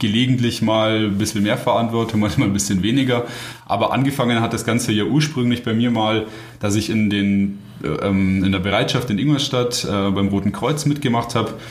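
A man speaks at a medium pitch and a fairly quick pace with fairly even intonation. There is noticeable background noise and audible room echo. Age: 20s. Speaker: paramedic and medical student. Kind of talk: casual interview.

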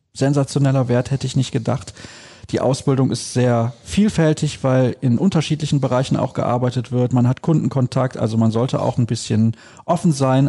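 A man's somewhat breathy voice at medium pitch, at a fairly quick pace. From Solingen, western Germany. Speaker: podcast host. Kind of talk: casual interview.

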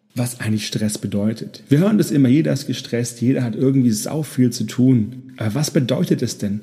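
A man speaks at medium pitch and a moderate pace, his voice somewhat breathy. The tone is dark and mellow, with ordinary pitch variation. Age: 30s. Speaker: podcast host, burnout prevention coach. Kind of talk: solo podcast introduction monologue.

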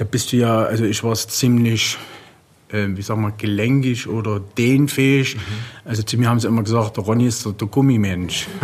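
Noticeable background noise surrounds this man's voice. He talks at medium pitch and a moderate pace, with fairly even intonation. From eastern Germany. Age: 40s. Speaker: professional bodybuilder. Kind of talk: interview. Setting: gym.

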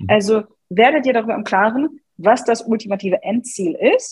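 A woman speaks with a slight English accent and a fairly high pitch. Her intonation is lively. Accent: slight English tinge in German. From Germany, Hannover. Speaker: personal branding coach. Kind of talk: podcast interview.

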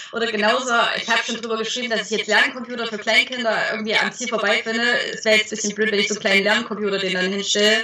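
Over noticeable background noise, a woman talks at a very fast pace with monotone, flat intonation. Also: fairly high pitch for a woman. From Thuringia, rural village. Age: 20s. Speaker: parenting blogger. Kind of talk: interview.

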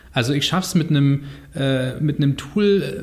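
Over noticeable background noise, a man with a fairly high pitch talks at a moderate pace, his pitch varying in an ordinary way. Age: 30s. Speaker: podcast host, journalist. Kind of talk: casual chat.

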